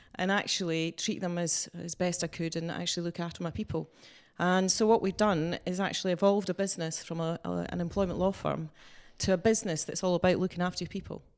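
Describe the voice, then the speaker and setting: A woman speaks at a very fast pace in a fairly low voice with monotone, flat intonation, on a very clean recording with a silent background. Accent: Scottish. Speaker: employment lawyer, business owner. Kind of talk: interview. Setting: office.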